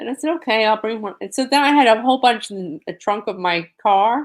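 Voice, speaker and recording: A woman with a New York accent talks at a moderate pace in a fairly high pitch. Her intonation is lively, and the recording is very clean with a silent background. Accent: New York (Queens). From New York, Queens. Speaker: disaster survivor advocate. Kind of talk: interview.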